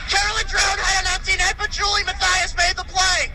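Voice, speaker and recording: Loud and projected, a man speaks at an extremely high pitch with an energetic tone and ordinary pitch variation. His pace is fairly quick, and there is noticeable background noise. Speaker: radio play-by-play announcer. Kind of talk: live ice hockey radio play-by-play. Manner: fast, energetic, rapid-fire.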